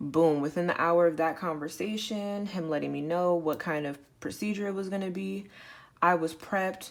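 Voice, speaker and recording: In a very clean recording with a silent background, a woman with a plain, everyday voice speaks at a moderate pace, her pitch fairly low and its variation ordinary. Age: 20s. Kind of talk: storytime recounting a hospital experience.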